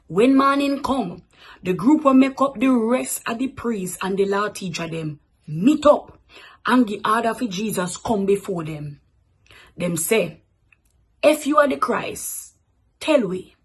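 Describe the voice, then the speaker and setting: In a Jamaican accent, a woman talks at a fairly slow pace and fairly high pitch, somewhat breathy, with very wide pitch swings, big swings in loudness, and long, frequent pauses. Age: 20s. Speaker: radio announcer. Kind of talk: scripture reading.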